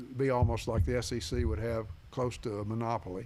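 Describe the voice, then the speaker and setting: A man speaks with a Tennessee accent. His pitch varies in an ordinary way. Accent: US Southern (Tennessee). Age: 80s+. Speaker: sports radio host. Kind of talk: interview.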